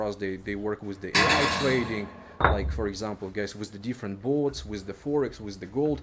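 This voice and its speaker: A man with a medium pitch talks fairly quickly while noticeable background noise plays behind him. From Ukraine (Sumy). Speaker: crypto business co-founder. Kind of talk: business presentation. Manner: fast.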